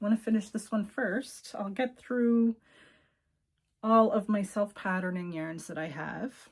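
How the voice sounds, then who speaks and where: On a very clean recording with a silent background, a woman with a Cape Breton accent talks at a fairly slow pace, somewhat breathy, with ordinary pitch variation. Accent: Cape Breton Canadian English. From Cape Breton, Nova Scotia, Canada. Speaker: knitting video podcaster. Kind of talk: casual show-and-tell chat. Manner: casual with frequent fillers.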